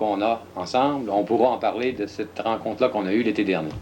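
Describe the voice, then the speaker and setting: A man speaks in an unremarkable speaking voice. His pitch sits in the medium range, with ordinary variation. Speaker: TV host. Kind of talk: interview.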